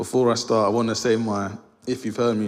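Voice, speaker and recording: Speaking at a fairly quick pace, a man with a London accent uses a fairly low pitch. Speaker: lay preacher. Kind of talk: sermon. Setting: church. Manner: fast; mumbling.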